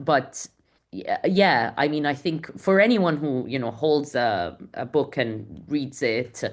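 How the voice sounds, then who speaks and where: A woman with a non-native accent speaks at a very deep, low pitch with lively intonation. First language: not English. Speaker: community founder and author. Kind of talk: podcast interview. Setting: podcast recording. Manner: fast, with frequent repetitions and restarts.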